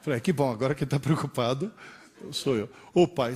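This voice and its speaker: The voice is dark, mellow and somewhat breathy, moving at a moderate pace with very wide pitch swings. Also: man. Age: 60s. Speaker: professor. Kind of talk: lecture.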